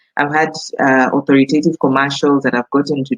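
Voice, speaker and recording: A woman speaks with a Kenyan accent in a dry, close recording with no echo. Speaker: voice actor. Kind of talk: casual talk to camera.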